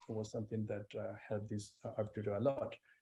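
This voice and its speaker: A man's medium-pitched, somewhat breathy voice has a dark, mellow tone and flat, monotone intonation. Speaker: arbitration lawyer, panelist. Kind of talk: panel discussion. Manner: halting, many fillers.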